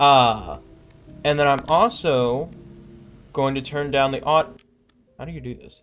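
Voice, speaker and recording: With music in the background, a man with a fairly high pitch speaks at a fairly slow pace, leaving long, frequent pauses. His pitch variation is ordinary, and his loudness swings widely. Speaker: gaming streamer. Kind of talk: live gameplay commentary. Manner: casual, filler-heavy.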